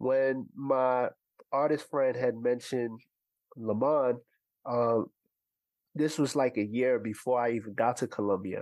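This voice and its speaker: A man with a New York accent, medium in pitch, fairly slow in pace and fairly even in intonation. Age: 30s. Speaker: music producer. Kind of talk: casual chat.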